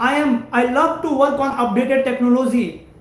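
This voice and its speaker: Audible room echo surrounds a man whose extremely high voice holds fairly even intonation. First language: Hindi or another Indian language. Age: 20s. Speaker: network engineering trainer. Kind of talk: live stream career talk.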